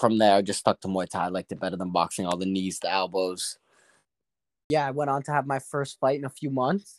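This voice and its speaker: This man has an ordinary speaking voice, fairly low in pitch, talking at a fairly quick pace with lively intonation in a dry, close sound with no echo on a very clean recording with a silent background. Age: 20s. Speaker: professional Muay Thai fighter and personal trainer. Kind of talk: casual interview chat.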